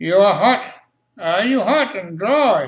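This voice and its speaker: A man's put-on character voice at a fairly slow pace, full of very wide pitch swings. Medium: solo performance. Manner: blunt, matter-of-fact.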